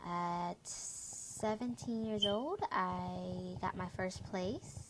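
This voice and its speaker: A woman talks very slowly, with noticeable noise in the background. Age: 20s. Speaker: young single parent, parents' group organizer. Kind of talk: personal testimony vlog. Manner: hesitant, many fillers.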